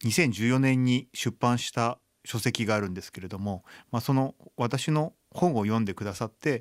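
In a very clean recording with a silent background, a man with an unremarkable speaking voice and a medium pitch talks at a fairly slow pace. His intonation is lively, and the sound is dry and close, with no echo. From Japan, Chiba. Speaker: blind violinist and composer. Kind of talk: radio interview. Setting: studio.

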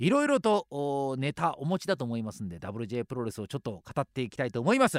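A man speaks at a fairly quick pace in a fairly high pitch, his voice swinging very widely in pitch, with a dry, close sound free of echo on a very clean recording with a silent background. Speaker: radio host. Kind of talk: radio show monologue.

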